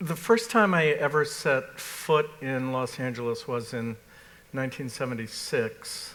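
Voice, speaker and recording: Fairly high in pitch, a man with an American accent speaks with lively intonation. His pace is fairly slow. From US Northeast, Massachusetts. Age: 60s. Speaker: art critic. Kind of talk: panel discussion. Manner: halting, many fillers.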